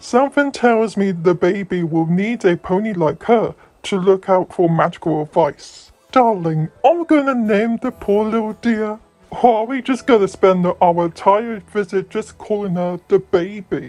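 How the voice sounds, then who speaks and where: A woman's put-on character voice at medium pitch, lively in intonation and moderate in pace, over music in the background. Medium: fan dub. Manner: doting.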